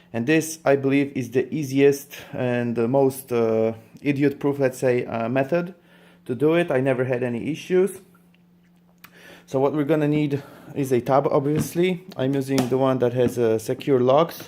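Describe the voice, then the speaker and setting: Spoken in a non-native accent, the words come out in a dark, mellow tone. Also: man, medium pitch for a man, fairly even intonation, moderate pace. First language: not English. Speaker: reptile breeder and YouTuber. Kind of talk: tutorial. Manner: halting, many fillers.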